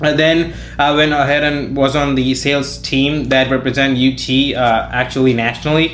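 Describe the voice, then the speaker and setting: This man's intonation is monotone and flat, with very even loudness and a medium pitch. Noticeable background noise and audible room echo are present. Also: moderate pace. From India. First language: Indian language, not English. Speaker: college student. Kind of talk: podcast interview. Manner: casual, many filler words.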